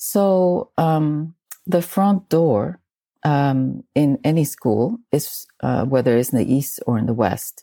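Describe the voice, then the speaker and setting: This woman's voice is dark and mellow, with a very deep, low pitch and lively intonation. The recording is very clean, with a silent background. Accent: Spanish. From South America. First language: Spanish. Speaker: feng shui and Chinese astrology consultant. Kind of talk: interview.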